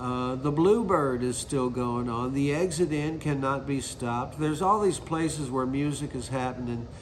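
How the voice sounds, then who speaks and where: A man with an American accent at a moderate pace, ordinary pitch variation, noticeable background noise and audible room echo. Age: 60s. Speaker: singer-songwriter. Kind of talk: interview monologue. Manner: casual, conversational.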